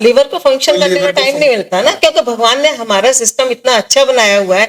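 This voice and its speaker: Lively intonation in a woman's high voice. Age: 70s. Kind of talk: interview answer.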